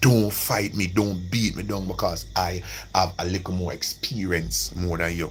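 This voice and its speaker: Over noticeable background noise and audible room echo, a man with a Jamaican accent speaks at a very deep, low pitch in an animated tone. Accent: Jamaican, with patois. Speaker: livestreamer. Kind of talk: casual livestream monologue.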